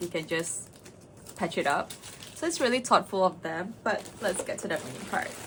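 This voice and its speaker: Over noticeable background noise, a woman speaks in an animated tone at a medium pitch and moderate pace, with lively intonation. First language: not English. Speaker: cosplay and makeup vlogger. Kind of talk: casual vlog chat.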